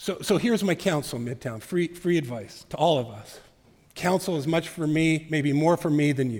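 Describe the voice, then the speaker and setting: Heard on a very clean recording with a silent background, a man talks at a moderate pace with lively intonation and a fairly high pitch. He has an unremarkable speaking voice. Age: 50s. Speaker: pastor. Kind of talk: sermon.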